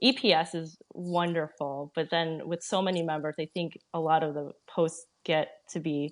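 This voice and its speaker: With an American accent and an unremarkable speaking voice, a woman talks at a moderate pace. Her pitch is fairly low and her intonation fairly even. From United States, Filipino-American family. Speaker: pharmacist and traveler. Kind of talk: interview. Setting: live video call.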